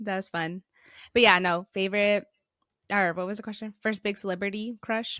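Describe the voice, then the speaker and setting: On a very clean recording with a silent background, a woman speaks in a medium pitch with a bright, sharp tone and monotone, flat intonation, her dry, close sound free of echo and broken by long, frequent pauses. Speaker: podcast co-host. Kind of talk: casual chat. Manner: fast.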